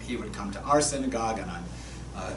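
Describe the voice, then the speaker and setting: A man with an American accent is heard over noticeable background noise, with audible room echo in the recording. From Massachusetts. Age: 60s. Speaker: rabbi. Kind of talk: sermon. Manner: conversational, storytelling.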